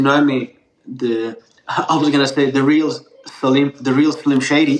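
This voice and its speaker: Fairly high male voice with a slight Australian accent at a fairly slow pace. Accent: partial Australian. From Turkey, raised in Melbourne, Australia. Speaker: pizza chef. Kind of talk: podcast interview.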